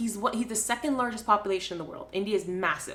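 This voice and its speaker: A woman's animated, medium-pitched voice at a very fast pace, with ordinary pitch variation and noticeable background noise. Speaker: podcast co-host. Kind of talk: casual chat. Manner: animated, ranting.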